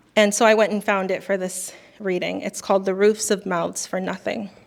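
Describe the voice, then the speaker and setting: A soft-spoken woman talks at a moderate pace with a medium pitch. Her intonation is monotone and flat. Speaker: poet. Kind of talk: casual talk between poems. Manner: halting.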